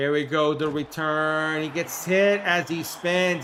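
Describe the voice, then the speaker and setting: A man with a New York accent speaks at a fairly slow pace with a fairly high pitch. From New York City (Queens). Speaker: gaming streamer. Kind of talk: live commentary. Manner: animated.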